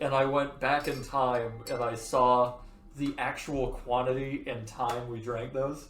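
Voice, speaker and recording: A man's medium-pitched, monotone, flat delivery at a fairly slow pace, with audible room echo and noticeable background noise. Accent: American. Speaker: podcast host. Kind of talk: casual chat. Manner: rambling, self-interrupting.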